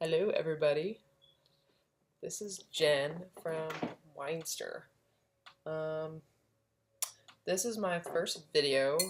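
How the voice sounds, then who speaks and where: A robotic, put-on character voice at a middle pitch proceeds at a fairly slow pace with long, frequent pauses. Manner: flat, robotic monotone.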